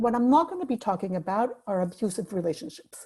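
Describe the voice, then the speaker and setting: Her voice is medium in pitch, with a dark, mellow tone, somewhat breathy, delivered at a moderate pace with lively intonation. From Mexico City. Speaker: life coach. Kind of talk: webinar talk.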